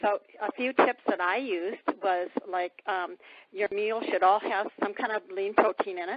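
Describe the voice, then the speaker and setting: A woman talks with fairly even intonation at a medium pitch and moderate pace, in a plain, everyday voice. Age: 60s. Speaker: testimonial guest on a sales call. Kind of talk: testimony.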